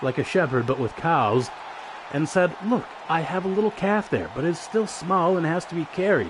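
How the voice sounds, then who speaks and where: Over crowd noise in the background, a man speaks at a moderate pace with a fairly high pitch and very wide pitch swings. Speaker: streamer. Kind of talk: casual fairy tale reading with commentary. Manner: irreverent, joking, profane.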